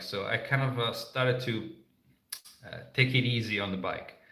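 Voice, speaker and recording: Amid audible room echo, a man with a non-native accent speaks at a moderate pace and medium pitch in a bright, sharp tone. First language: not English. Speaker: motorcycle travel vlogger. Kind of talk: live stream Q&A. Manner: halting, many fillers.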